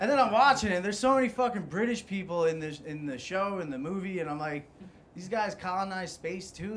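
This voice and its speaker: A high-pitched man with an American accent and lively intonation at a very fast pace, amid noticeable background noise and audible room echo. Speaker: stand-up comedian. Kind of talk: stand-up.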